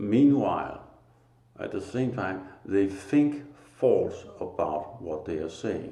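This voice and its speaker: With a Danish accent, a man speaks at a very slow pace in a somewhat breathy, dark, mellow tone, with audible room echo. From Denmark. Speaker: spiritual teacher. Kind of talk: religious monologue. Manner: halting, pauses to find words.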